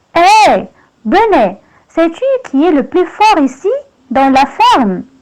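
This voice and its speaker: A woman puts on a character voice with a high pitch and very wide pitch swings, speaking at a fairly slow pace. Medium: read story. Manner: boastful, domineering.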